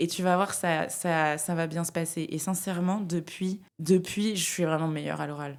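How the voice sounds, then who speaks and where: A woman speaks at a moderate pace in a fairly low pitch with monotone, flat intonation. The recording is very clean with a silent background. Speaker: climate media founder and speaker. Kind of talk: interview conversation. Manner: loud; hesitant, many fillers.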